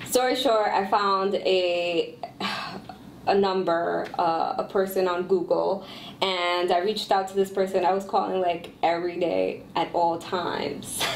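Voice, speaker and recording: Noticeable background noise and audible room echo around a woman speaking at a fairly slow pace. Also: medium pitch for a woman. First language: Spanish. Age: 30s. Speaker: entrepreneur, former radio host. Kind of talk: podcast interview. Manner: animated.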